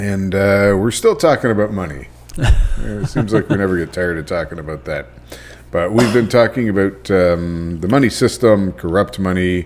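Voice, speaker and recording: Against noticeable background noise, a man with a fairly low-pitched voice speaks at a moderate pace. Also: ordinary pitch variation. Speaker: podcast host. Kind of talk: casual podcast conversation.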